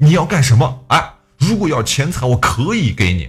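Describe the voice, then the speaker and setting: A man puts on a character voice that sounds shaky, medium in pitch. He keeps a moderate pace while his pitch swings very widely. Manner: trembling, alarmed.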